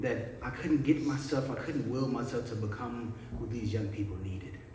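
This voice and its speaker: There is noticeable background noise as a man speaks at a medium pitch and a moderate pace. His pitch varies in an ordinary way. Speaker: spoken word poet. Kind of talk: spoken word poetry performance. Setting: live church event with audience.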